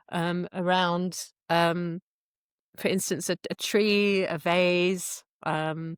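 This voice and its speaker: A woman in an English accent, fairly low-pitched, monotone and flat, at a very slow pace, dry and close with no echo, in a very clean recording with a silent background. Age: 50s. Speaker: qigong instructor. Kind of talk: interview. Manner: hesitant, many fillers.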